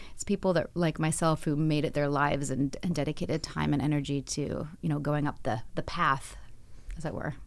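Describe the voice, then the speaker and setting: A woman speaks at a fairly quick pace in a very deep, low voice with vocal fry and fairly even intonation, on a very clean recording with a silent background. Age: 40s. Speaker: actress. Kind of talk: interview. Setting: studio.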